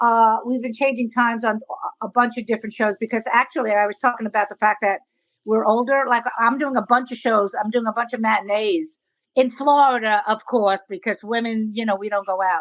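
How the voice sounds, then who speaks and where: With a Brooklyn accent, a woman speaks fairly quickly at a fairly high pitch, keeping her intonation fairly even. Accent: New York (Brooklyn). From New York City (Brooklyn). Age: 60s. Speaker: comedian. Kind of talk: interview. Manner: halting, many restarts.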